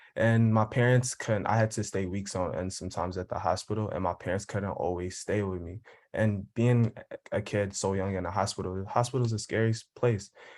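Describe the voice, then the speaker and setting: Over a very clean recording with a silent background, a man with a normal speaking voice talks fairly quickly at a fairly low pitch, with fairly even intonation and an American accent. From Philadelphia. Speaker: nursing student. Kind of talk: panel discussion.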